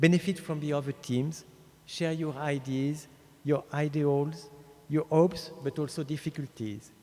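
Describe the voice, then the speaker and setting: With a French accent, a man speaks at a fairly slow pace in a dark, mellow tone, his pitch fairly high and his intonation fairly even. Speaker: speaker at an award ceremony. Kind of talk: ceremonial speech.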